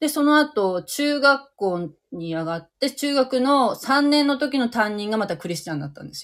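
A woman's high-pitched voice, with very wide pitch swings and big swings in loudness. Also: moderate pace. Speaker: livestream host. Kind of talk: casual chat. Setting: online live audio stream.

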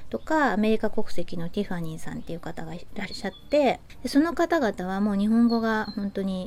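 Noticeable background noise runs under the speech. The delivery is fairly quick, with lively intonation. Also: woman. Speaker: podcast host. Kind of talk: casual monologue. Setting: outdoors on home terrace.

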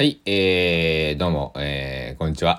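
A man talks at a fairly slow pace. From Kochi, Japan. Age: 20s. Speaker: podcaster. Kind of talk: casual solo podcast monologue. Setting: solo recording. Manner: filler-heavy, rambling.

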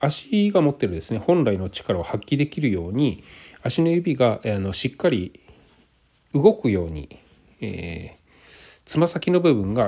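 A man with a fairly high pitch and a dark, mellow tone speaks with vocal fry at a fairly slow pace. His pitch swings very widely and his loudness varies a lot, in a very clean recording with a silent background. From Japan. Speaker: hiking podcaster. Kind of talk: solo podcast monologue. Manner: halting, many fillers.

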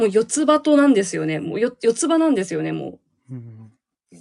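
This woman's voice sits fairly high and moves at a moderate pace. The background is quiet. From Hokkaido, Japan. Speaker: manga artist. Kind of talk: casual chat.

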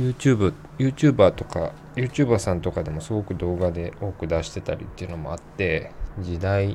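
In a relaxed tone, a man with a very deep, low pitch speaks with lively intonation. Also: moderate pace. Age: 30s. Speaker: podcast host. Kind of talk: casual solo podcast talk.

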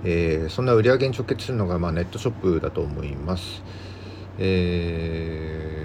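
A man's very deep, low voice with lively intonation, over noticeable background noise. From Japan, Yamagata countryside. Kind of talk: solo podcast talk, informational. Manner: frequent filler words.

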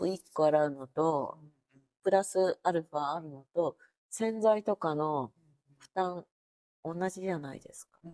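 Her voice is fairly low in pitch for a woman, with a dark, mellow tone and ordinary pitch variation, captured in a dry, close sound with no echo. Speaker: guest seeking advice. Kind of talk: casual chat.

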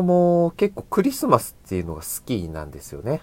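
A man is talking. His pitch swings very widely. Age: 20s. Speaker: podcaster. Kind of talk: solo casual talk.

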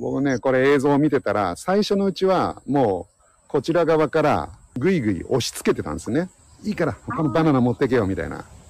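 A man talks at a fairly quick pace in a fairly high pitch. His pitch moves in very wide swings. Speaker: science podcast host. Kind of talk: casual chat.

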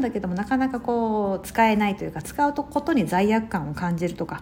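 Her voice falls at a medium pitch. The woman keeps to a moderate pace. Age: 40s. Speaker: podcast host, lifestyle advisor. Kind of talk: casual solo talk. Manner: chatty with frequent fillers.

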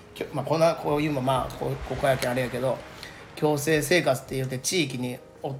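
A man is heard speaking through noticeable background noise. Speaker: udon shop promoter. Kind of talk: casual chat.

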